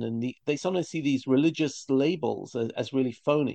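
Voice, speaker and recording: A man speaks with a British accent, his pitch fairly high for a man and his intonation lively. The tone is dark and mellow, and the sound is dry and close with no echo. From London, England. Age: 50s. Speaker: rabbi and teacher. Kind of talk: interview conversation. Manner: halting, repetitive.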